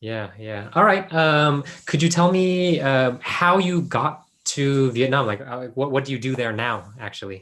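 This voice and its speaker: A man with a plain, everyday voice speaks at a fairly slow pace in a fairly high pitch, his intonation lively. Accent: American. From US, Los Angeles. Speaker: PhD researcher, former teacher. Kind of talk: interview.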